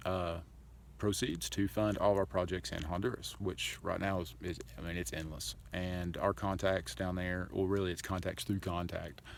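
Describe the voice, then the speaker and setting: Vocal fry runs through this man's very deep, low-pitched voice. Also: ordinary pitch variation, moderate pace. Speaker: charity founder vlogger. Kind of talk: casual vlog monologue.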